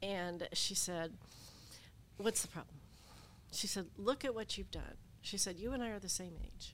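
With vocal fry and an American accent, a woman talks at a moderate pace. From Appalachia, Southern Ohio. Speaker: lawyer and former veterans' appeals board chair. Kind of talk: interview.

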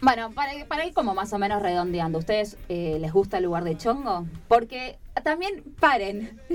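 Her medium pitch makes very wide swings as a woman speaks at a moderate pace. Noticeable background noise is present. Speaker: radio co-host. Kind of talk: casual chat.

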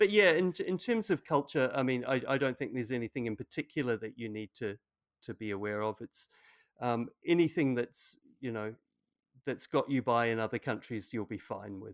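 With a New Zealand accent, a man talks at a moderate pace and medium pitch, his intonation lively. The sound is dry and close, with no echo. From New Zealand, Auckland. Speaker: English language teacher. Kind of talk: casual chat. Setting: video call.

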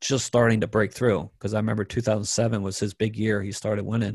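This man speaks in an American accent, his voice fairly low and somewhat breathy. The background is quiet. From Maryland, US. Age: 30s. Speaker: professional pool player. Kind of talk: interview.

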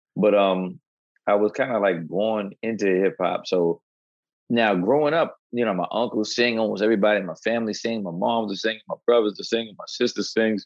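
With a New York accent, a man talks fairly quickly in a fairly low pitch with fairly even intonation. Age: 40s. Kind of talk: casual interview chat.

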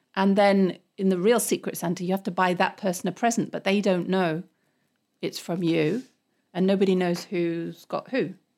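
In a British accent, a woman talks at a moderate pace and medium pitch. Her intonation stays fairly even, and the recording is very clean with a silent background. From England. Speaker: English teacher and comedian. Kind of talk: casual chat. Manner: laughs often.

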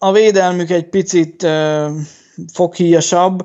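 Very slowly and with fairly even intonation, a man speaks. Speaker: sports betting podcast host. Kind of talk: casual chat.

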